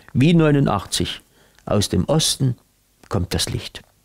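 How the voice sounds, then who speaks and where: In a quiet setting, a man takes a fairly slow pace while his pitch swings very widely. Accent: Saxon. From Saxony. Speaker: cabaret artist and actor. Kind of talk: announcement to camera for a peace rally. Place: home room.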